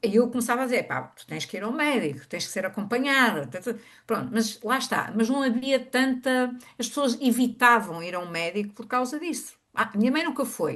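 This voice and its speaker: A woman's high voice in a European Portuguese accent, lively in intonation, at a moderate pace with big swings in loudness, over a quiet background. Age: 60s. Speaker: workshop attendee. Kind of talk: personal testimony. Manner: halting.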